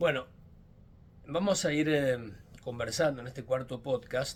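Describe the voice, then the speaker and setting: A man with a Mendoza accent talks at medium pitch and a moderate pace, with ordinary pitch variation. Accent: Mendoza Argentine Spanish. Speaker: politician. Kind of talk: podcast monologue. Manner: hesitant, with fillers.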